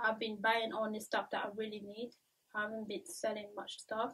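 A woman is speaking. She has a French accent. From Central African Republic and France, of Cameroonian family. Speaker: YouTuber. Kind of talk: vlog monologue. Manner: casual with frequent fillers. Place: home room.

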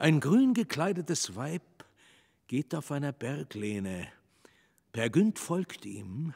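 Somewhat breathy, a man speaks at a very slow pace with a fairly high pitch and very wide pitch swings. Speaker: narrator. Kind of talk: scripted stage narration, reading stage directions. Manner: measured, storytelling, dramatic.

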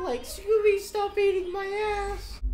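Amid noticeable background noise, a woman uses a squeaky, put-on character voice at extremely high pitch and a fairly slow pace. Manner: cartoonish, comedic.

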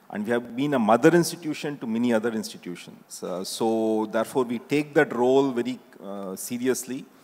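A man with an Indian accent speaks at a medium pitch with ordinary pitch variation and hardly any pauses. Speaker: institute director. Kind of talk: panel discussion. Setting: stage with audience. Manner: halting. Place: stage. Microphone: handheld.

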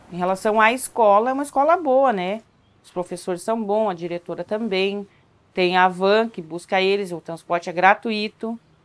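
Speaking at a moderate pace, a woman shows ordinary pitch variation and big swings in loudness. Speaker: local resident. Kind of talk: documentary interview. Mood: calm, matter-of-fact. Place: kitchen.

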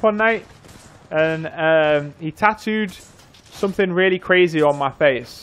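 In a Yorkshire accent, a man talks at a high pitch with ordinary pitch variation. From northern England, North Yorkshire; northern England. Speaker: gaming streamer. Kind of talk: casual livestream chat. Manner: casual, rambling with fillers. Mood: joking, playful. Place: home room.

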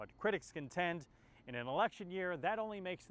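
With an ordinary speaking voice, a man talks at a fairly high pitch using lively intonation. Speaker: news reporter. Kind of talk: news report narration. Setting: on location in California.

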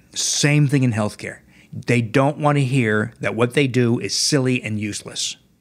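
A man speaks with an American accent at a medium pitch. He keeps a moderate pace. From New Jersey, US. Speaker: cardiologist. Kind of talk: interview. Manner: animated.

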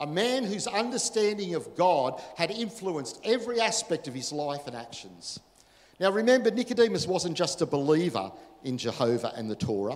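At a moderate pace, a man talks in a high pitch with very wide pitch swings and big swings in loudness. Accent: Australian. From Australia. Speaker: pastor. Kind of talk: sermon. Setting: church. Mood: earnest, emotional testimony. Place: church. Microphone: handheld.

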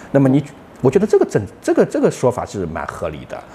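A man races through his words at a very fast pace, his pitch swinging very widely. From China. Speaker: partner of host, expat living in Malaysia; vlogger. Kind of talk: casual chat. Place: home room. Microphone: lapel.

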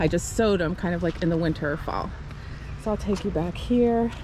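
A woman's voice, dry with no echo, over noticeable background noise. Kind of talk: casual garden tour narration. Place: garden. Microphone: phone near.

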